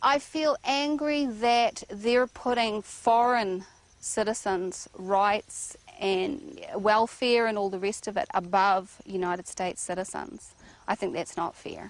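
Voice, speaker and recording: A woman's fairly high-pitched voice at a very slow pace, with a New Zealand accent. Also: lively intonation. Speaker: rancher. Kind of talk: documentary interview. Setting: outdoors on a ranch.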